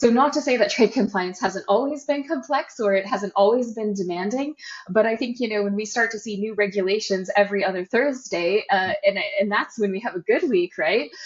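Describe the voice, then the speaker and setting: A woman with an American accent and a fairly high pitch talks at a fairly quick pace with ordinary pitch variation over noticeable background noise. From United States. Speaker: trade compliance consultant, company co-founder. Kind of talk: podcast interview.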